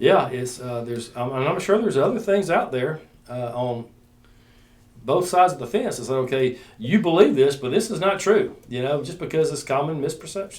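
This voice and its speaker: A man with an Alabama accent speaks at a fairly quick pace and fairly high pitch, with lively intonation and audible room echo. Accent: Southern US (Alabama). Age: 60s. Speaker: chief deputy sheriff. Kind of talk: casual chat.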